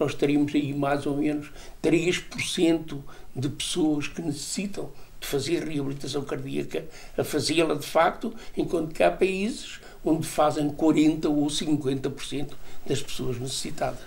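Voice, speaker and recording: Audible room echo surrounds a man speaking at a fairly high pitch, with fairly even intonation and a moderate pace. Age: 80s+. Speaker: cardiologist, emeritus professor. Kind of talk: TV interview.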